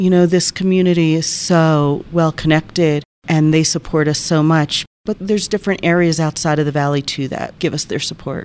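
Speaking at a moderate pace with hardly any pauses, a woman uses fairly even intonation and a very deep, low pitch. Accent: American. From New Jersey. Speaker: hospital communications officer. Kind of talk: interview.

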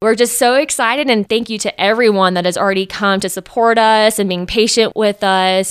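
A woman with an American accent in a normal speaking voice, fairly even in intonation, in a dry, close sound with no echo. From Texas, Austin. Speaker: spa manager and esthetician. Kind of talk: interview.

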